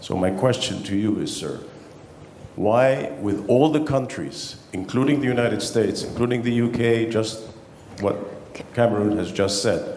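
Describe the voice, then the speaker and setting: A man talks at a moderate pace with ordinary pitch variation, with audible room echo and noticeable background noise. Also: medium pitch for a man. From Egypt. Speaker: conference audience member. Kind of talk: audience question at panel.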